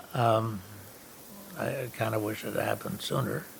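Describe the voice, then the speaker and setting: The speech moves at a fairly slow pace, with noticeable background noise. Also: man. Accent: American. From upstate New York. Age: 90s. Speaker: historic house owner. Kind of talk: documentary interview. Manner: halting, many fillers.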